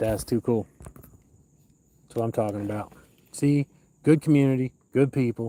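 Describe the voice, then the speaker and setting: A man speaks in a dark, mellow tone with fairly even intonation. He leaves long, frequent pauses. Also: medium pitch for a man, moderate pace. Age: 50s. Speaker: fishing livestreamer. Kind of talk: live stream commentary while fishing. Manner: casual, halting with fillers.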